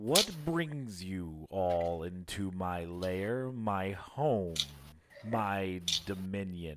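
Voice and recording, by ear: A man uses a put-on character voice, very deep and low in pitch. He speaks at a very slow pace.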